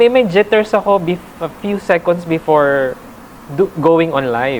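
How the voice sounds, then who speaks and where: Over noticeable background noise, a woman talks at a moderate pace, her pitch swinging very widely. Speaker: reporter and stand-up comedian. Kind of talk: interview. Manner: halting.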